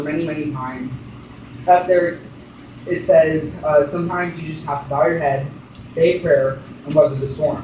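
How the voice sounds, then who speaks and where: The speech runs at a moderate pace amid noticeable background noise. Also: man. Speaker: preacher giving a sermon. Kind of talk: sermon preached to a congregation.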